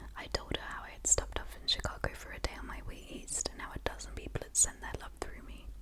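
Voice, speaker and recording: A woman whispers breathily at a moderate pace over noticeable background noise. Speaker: ASMR creator. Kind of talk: whispered book reading, ASMR. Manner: whispered, breathy, up close.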